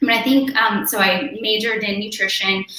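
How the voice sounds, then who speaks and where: A woman with an American accent speaks at a fairly high pitch with ordinary pitch variation. Audible room echo and noticeable background noise fill the recording. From Southern California, Mexican family. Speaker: dietitian. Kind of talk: panel discussion.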